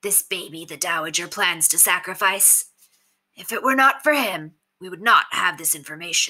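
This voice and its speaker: A put-on character voice, female-sounding, at a middle pitch and a moderate pace. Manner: steely, direct, rousing.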